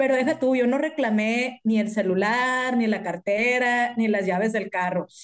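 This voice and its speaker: Over a quiet background, a woman with an ordinary speaking voice talks at a moderate pace, her fairly high pitch showing ordinary variation. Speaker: amateur marathon runner, office worker. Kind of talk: casual chat.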